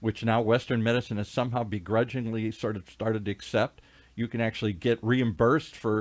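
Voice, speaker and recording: A man talks in a monotone with flat intonation, and the sound is dry and close with no echo. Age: 60s. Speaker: radio talk show host. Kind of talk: radio interview. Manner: halting, many fillers.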